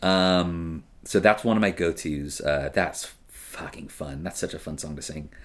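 Big swings in loudness mark a man's very deep, low voice. He talks at a fairly slow pace with hardly any pauses and ordinary pitch variation. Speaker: karaoke host. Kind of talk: casual chat.

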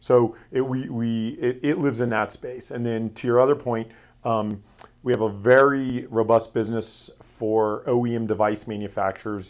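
A man with an American accent talks in a normal speaking voice. He keeps a moderate pace and fairly even intonation. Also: medium pitch for a man. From Florida. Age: 40s. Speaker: security company executive. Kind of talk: interview.

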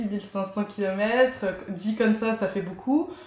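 Noticeable background noise runs under this clip. A woman speaks with fairly even intonation. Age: 20s. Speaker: cycling adventurer. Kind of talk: interview. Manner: halting, many fillers and repetitions.

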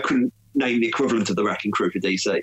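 A man at a medium pitch and very fast pace with an English Midlands accent, over noticeable background noise. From England, Stafford (West Midlands). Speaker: comic book writer. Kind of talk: interview.

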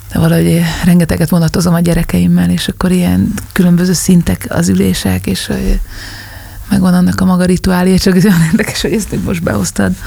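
Over noticeable background noise, a woman talks at a very fast pace with very even loudness. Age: 40s. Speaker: singer and musician. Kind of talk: casual chat.

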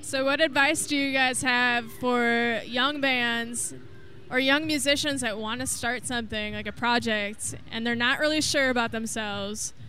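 The tone is enthusiastic. The pace is fairly slow. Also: woman, high pitch for a woman. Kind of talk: live radio co-host banter, interviewing young bands. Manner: enthusiastic, friendly, lively.

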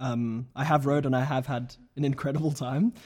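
A man talks at a medium pitch with ordinary pitch variation and a somewhat breathy quality. The recording is very clean, with a silent background. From South Africa. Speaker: graduate student. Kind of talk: casual chat.

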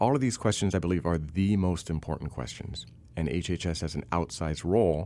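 Speaking at a moderate pace, this man has a very deep, low pitch, a dark, mellow tone and audible vocal fry. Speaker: civil rights attorney and policy fellow. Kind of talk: interview discussion.

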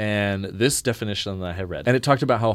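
A plain, everyday voice with ordinary pitch variation on a very clean recording with a silent background. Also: man. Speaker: student group leader. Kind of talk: panel interview discussion. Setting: studio.

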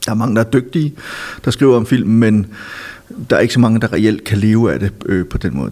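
A man is speaking. His pace is fairly quick. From Denmark, Silkeborg (Jutland). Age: 50s. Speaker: film critic and author. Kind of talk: casual interview. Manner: hesitant, many fillers.

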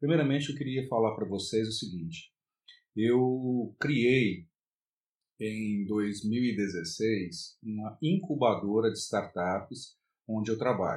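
A man's medium-pitched voice at a very slow pace, with ordinary pitch variation over a quiet background. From Brasília, Brazil. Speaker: university professor. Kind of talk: self-recorded course presentation. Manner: hesitant, with fillers.

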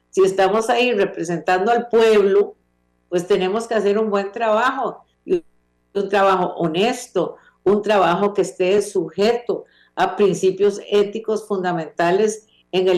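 With music in the background, a woman at a medium pitch speaks at a fairly slow pace and with fairly even intonation. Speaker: legislator and criminal lawyer. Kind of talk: interview. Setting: video call.

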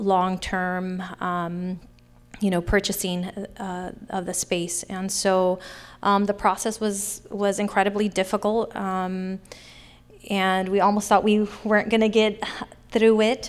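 A woman speaks in a medium pitch at a very slow pace. Her intonation is monotone and flat. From Sacramento, California (Oak Park). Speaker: arts center founder. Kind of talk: live panel Q&A. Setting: stage with audience.

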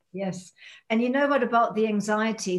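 Somewhat breathy and fairly high-pitched, a woman speaks with ordinary pitch variation. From Germany. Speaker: holistic dentist and healer. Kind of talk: casual chat.

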